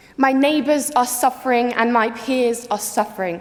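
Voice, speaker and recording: Through noticeable background noise comes a woman's high voice with ordinary pitch variation. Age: young. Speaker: conference delegate. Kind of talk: political speech.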